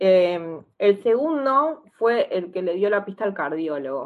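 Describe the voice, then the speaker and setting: Lively intonation marks this woman's ordinary speaking voice, set at a medium pitch. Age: 30s. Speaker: psychologist and stroke patient. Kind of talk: interview testimony.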